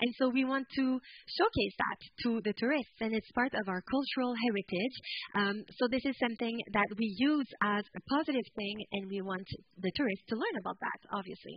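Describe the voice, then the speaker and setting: A woman speaks fairly quickly with a French-Canadian accent, her fairly high voice somewhat breathy and her pitch varying in an ordinary way. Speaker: tourism product developer. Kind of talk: conference presentation.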